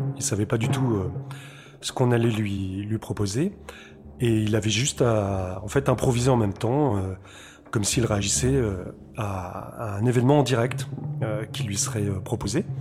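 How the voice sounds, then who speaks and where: A man speaks at a moderate pace in a dark, mellow tone with a somewhat breathy quality. His pauses are long and frequent. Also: medium pitch for a man, ordinary pitch variation. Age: 40s. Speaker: composer and radio host. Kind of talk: radio show presentation mixed with self-interview. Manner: hesitant, many fillers.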